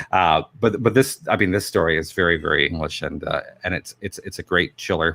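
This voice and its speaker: A man speaks at a fairly quick pace with lively intonation and a bright, sharp tone, his voice dry and close with no echo on a very clean recording with a silent background. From England. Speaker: film director and voice actor. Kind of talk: interview. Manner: halting, many repetitions.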